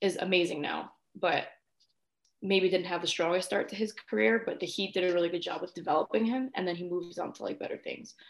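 An unremarkable speaking voice from a woman with an American accent, medium in pitch with ordinary pitch variation. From New York. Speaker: sports host and college student. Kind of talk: casual interview chat.

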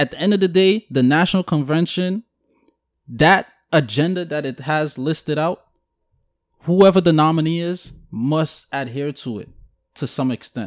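In a New York accent, a man speaks with a fairly high pitch, ordinary pitch variation and big swings in loudness. The recording is very clean with a silent background, and the sound is dry and close with no echo. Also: moderate pace. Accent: New York City. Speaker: podcast host. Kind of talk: casual banter podcast conversation.

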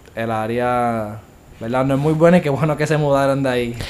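At a moderate pace, a man with an unremarkable speaking voice talks at a medium pitch, his intonation fairly even. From Puerto Rico, Bayamón. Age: 20s. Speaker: university student. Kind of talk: casual chat.

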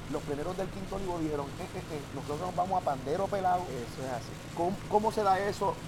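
A man speaks very fast in a high voice with ordinary pitch variation. The room echo is audible and background noise is noticeable. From Puerto Rico, Santurce (San Juan). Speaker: podcast host and plena musician. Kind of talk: casual interview. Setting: outdoors in the neighborhood at night.

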